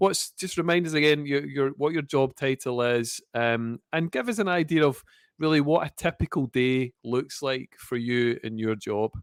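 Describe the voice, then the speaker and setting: A man in a Scottish accent, fairly high in pitch, at a moderate pace with ordinary pitch variation and hardly any pauses. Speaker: podcast host. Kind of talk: interview.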